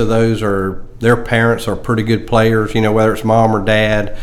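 Audible room echo accompanies a man with a Southern US accent speaking at a moderate pace. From South Carolina (Greenwood). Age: 60s. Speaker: golf professional. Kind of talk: casual interview.

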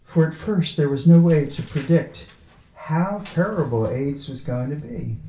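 Speaking at a fairly slow pace with a fairly high pitch, a man's loudness swings widely against noticeable background noise. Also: ordinary pitch variation. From Long Island, New York.

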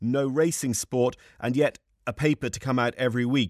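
Speaking in an Irish accent, a man uses a medium pitch. The background is quiet. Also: dry, close sound with no echo. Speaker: podcast host and equestrian broadcaster. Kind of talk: interview.

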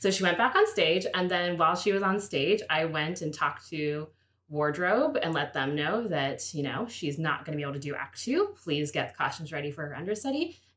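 With an American accent, a woman in an ordinary speaking voice talks at a fairly quick pace with hardly any pauses, her fairly low pitch carried by lively intonation. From Pittsburgh, US. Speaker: theatre stage manager. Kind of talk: casual interview.

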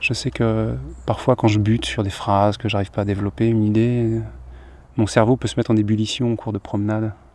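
A man speaks at a fairly quick pace in a calm tone, his intonation monotone and flat. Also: fairly low pitch for a man. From Paris region, Seine-Saint-Denis. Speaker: singer-songwriter. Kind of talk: casual chat. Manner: calm, contemplative; halting.

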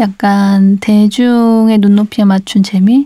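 A woman's somewhat breathy voice has a dark, mellow tone, recorded with a dry, close sound and no echo. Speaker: podcast host.

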